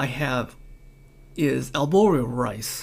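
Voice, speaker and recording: Vocal fry runs through this speech, delivered at a very slow pace with ordinary pitch variation. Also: man. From Hawaii, Honolulu. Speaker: home cook. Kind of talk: casual chat.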